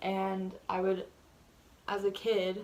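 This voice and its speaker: Here a woman is soft-spoken. Her pitch is medium. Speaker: vlogger. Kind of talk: casual chat. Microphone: audio turned up because quiet.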